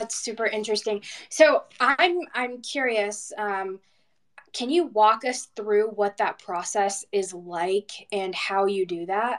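Very slow pace from a woman, fairly high in pitch, with ordinary pitch variation. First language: not English. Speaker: podcast co-host. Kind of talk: casual chat.

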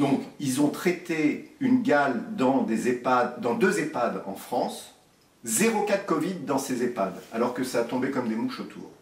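Over noticeable background noise, a man speaks very slowly in a fairly high voice with very wide pitch swings. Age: 50s. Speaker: surgeon. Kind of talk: interview.

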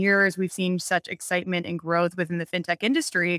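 A woman with an American accent and a medium pitch talks at a fairly quick pace in a bright, sharp tone, the sound dry and close with no echo in a very clean recording over a silent background. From Montana, US. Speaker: venture capital investor. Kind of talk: interview. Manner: animated.

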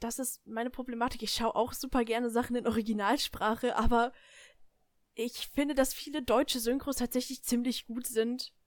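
At a moderate pace, a woman with a high pitch speaks in a monotone, flat intonation. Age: young. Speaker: podcast guest, friend of the hosts. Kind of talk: casual chat.

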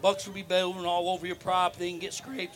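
Very fast speech from a man, with noticeable noise in the background. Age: 50s. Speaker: whitetail deer habitat consultant. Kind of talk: casual interview.

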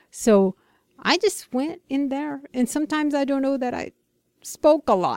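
Fairly slow and with lively intonation, a woman speaks in a Brazilian accent. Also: dry, close sound with no echo. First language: Portuguese. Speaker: ministry care coordinator. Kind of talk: casual interview chat with devotional reading. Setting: radio studio.

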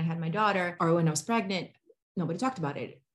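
A woman's somewhat breathy voice at a medium pitch, with ordinary pitch variation and a very fast pace. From Brazil. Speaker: mom influencer.

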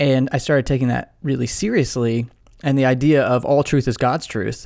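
Medium pitch from a man with a normal speaking voice, fairly even intonation and a moderate pace. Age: 30s. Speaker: podcast host and author, former pastor and philosophy professor. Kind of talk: interview conversation. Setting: video call.

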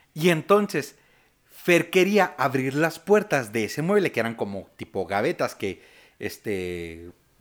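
Using very wide pitch swings, a man with a fairly high voice and a Mexican accent talks at a fairly slow pace. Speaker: podcast host. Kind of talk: casual chat.

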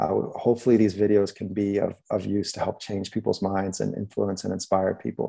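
Here a man's voice has a dark, mellow tone. He talks at a fairly quick pace with fairly even intonation. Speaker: documentary filmmaker and journalist. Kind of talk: online talk. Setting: video call.

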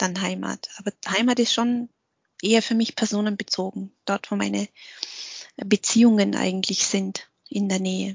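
A normal speaking voice from a woman, medium-pitched and moderately paced. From Austria (Vorarlberg), Vietnamese refugee family. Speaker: lecturer on gender and diversity. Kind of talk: interview. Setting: video call.

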